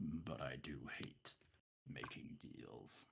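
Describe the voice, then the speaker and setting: In a put-on character voice, a man speaks with a raspy, very deep, low pitch. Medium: actual play. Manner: plainspoken, gentle.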